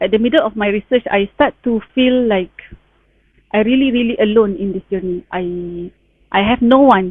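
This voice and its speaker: Her pitch sits fairly high for a woman. She keeps a moderate pace and ordinary pitch variation. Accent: Malaysian. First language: Malay. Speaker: town planner sharing PhD experience. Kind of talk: online talk, personal sharing. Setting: Facebook live stream. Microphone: sound issues on the live stream.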